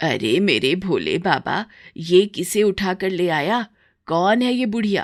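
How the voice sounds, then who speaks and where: A woman puts on a raspy character voice at a medium pitch. Her pace is fairly slow. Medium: cartoon. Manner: blunt, scolding.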